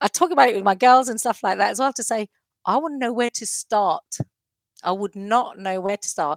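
A normal speaking voice from a woman at a fairly high pitch and fairly quick pace, in a very clean recording with a silent background and a dry, close sound with no echo. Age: 50s. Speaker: body confidence coach. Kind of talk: casual chat.

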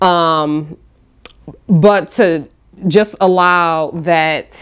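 With an American accent, a woman speaks at a fairly low pitch. Her intonation stays fairly even. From Detroit, US Midwest. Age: 40s. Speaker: visual artist. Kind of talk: reflective monologue. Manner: soft-spoken; halting.

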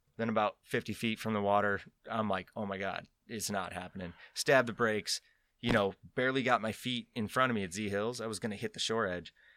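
A man with an ordinary speaking voice, fairly low pitch, fairly even intonation and a fairly quick pace, in a dry, close sound with no echo on a very clean recording with a silent background. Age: 30s. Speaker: professional skydiver and canopy coach. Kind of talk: casual interview chat. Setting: studio.

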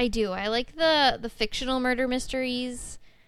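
An ordinary speaking voice from a woman at a fairly slow pace, on a very clean recording with a silent background. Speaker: guest and host's wife. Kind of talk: casual chat.

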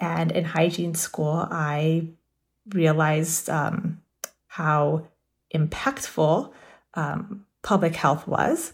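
A woman's fairly low-pitched voice with vocal fry, very slow pace, and ordinary pitch variation. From South Texas. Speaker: dental hygienist, public health. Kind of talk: interview. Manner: frequent filler hesitations; mixes English and Spanish.

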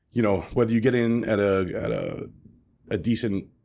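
The recording is very clean, with a silent background. A man talks with fairly even intonation. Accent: New York. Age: 30s. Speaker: restaurant owner. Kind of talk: interview. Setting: at his restaurant. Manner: halting.

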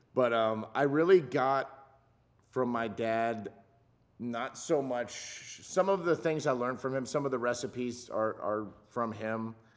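At a fairly slow pace, the speaker uses a normal speaking voice with ordinary pitch variation. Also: man, medium pitch for a man. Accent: American. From Southern California. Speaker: chef for film and TV sets. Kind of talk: casual chat.

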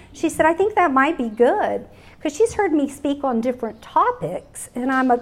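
A high-pitched woman's voice in a Texas accent, with very wide pitch swings. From Texas Hill Country. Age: 60s. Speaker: speaker. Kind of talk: testimony. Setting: luncheon with live audience.

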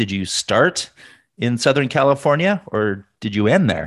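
Dry and close with no echo, a man's medium-pitched voice swings very widely in pitch. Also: quiet background. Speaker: podcast host. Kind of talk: casual interview chat.

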